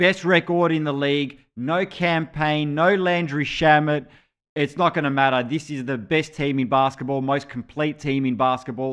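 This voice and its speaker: A man with an Australian accent speaks at a moderate pace. His pitch is fairly high, with ordinary pitch variation. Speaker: basketball show host. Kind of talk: sports betting preview show. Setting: live stream.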